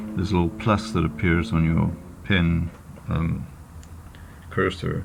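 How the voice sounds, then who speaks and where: With noticeable background noise and audible room echo, a man speaks at a moderate pace in a very deep, low pitch with ordinary pitch variation. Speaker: photo retoucher making tutorials. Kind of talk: tutorial. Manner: halting, many fillers. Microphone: poor audio quality.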